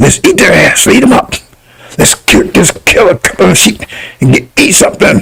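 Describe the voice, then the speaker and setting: Using a put-on character voice, a man speaks at a moderate pace in a high pitch. His voice is raspy, with a menacing tone. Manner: menacing, hungry.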